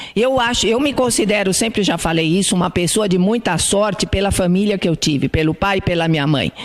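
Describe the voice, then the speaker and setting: Lively intonation at a fairly quick pace, with hardly any pauses, very even loudness and noticeable background noise. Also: woman, medium pitch for a woman. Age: 70s. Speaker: spiritist lecturer. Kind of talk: lecture. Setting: spiritist centre hall with audience. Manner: conversational.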